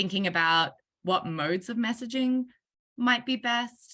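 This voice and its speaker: With an Australian accent, a woman talks at a moderate pace in a bright, sharp tone, using ordinary pitch variation against a quiet background. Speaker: workshop facilitator. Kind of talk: online meeting facilitation.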